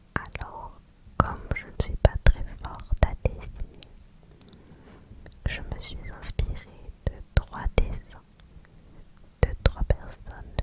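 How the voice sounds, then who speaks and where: A woman's slow whisper with long, frequent pauses over noticeable background noise. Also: big swings in loudness. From France. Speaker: ASMR creator. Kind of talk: ASMR whispered screen-recording narration. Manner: whispered, soft, slow.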